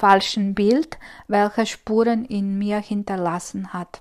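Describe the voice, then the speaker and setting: At a very slow pace, a woman with a Croatian accent and fairly high pitch speaks with fairly even intonation. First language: Croatian (speaking German). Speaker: spiritual coach. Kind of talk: solo podcast monologue. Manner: hesitant, many fillers.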